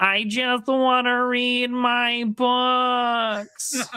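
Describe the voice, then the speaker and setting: A woman doing a put-on character voice, pitched high. Her delivery stays flat and monotone throughout. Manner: put-on cartoon character voice.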